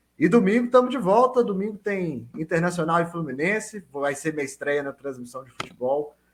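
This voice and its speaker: A high-pitched man with a Minas Gerais accent, at a moderate pace with hardly any pauses, very wide pitch swings and big swings in loudness. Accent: clear Minas Gerais. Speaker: sports podcast co-host. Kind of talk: podcast panel chat. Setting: video call.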